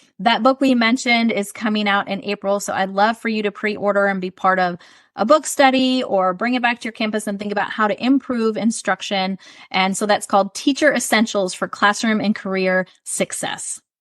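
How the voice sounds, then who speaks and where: Recorded with a dry, close sound and no echo, a woman talks at a fairly quick pace in a fairly high pitch. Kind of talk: podcast interview. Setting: podcast. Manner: fast; animated.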